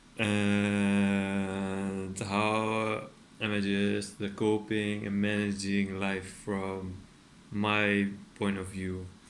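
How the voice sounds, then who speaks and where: Audible room echo surrounds a man speaking at a very slow pace with a Dutch accent. His pitch is fairly low and his intonation monotone and flat. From Netherlands. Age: 30s. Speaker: artist and furniture maker. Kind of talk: casual vlog monologue. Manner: hesitant, many fillers.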